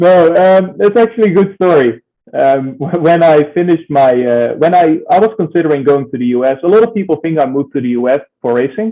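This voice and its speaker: A man with a slight Dutch accent speaks at a fairly quick pace with lively intonation. His fairly high voice has a dark, mellow tone. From Netherlands. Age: 20s. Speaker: racing driver. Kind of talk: interview.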